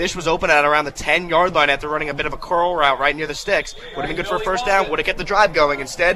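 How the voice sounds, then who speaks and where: A man with a fairly high voice talks very fast with hardly any pauses and ordinary pitch variation over noticeable background noise. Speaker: radio football color commentator. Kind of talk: sports analysis commentary.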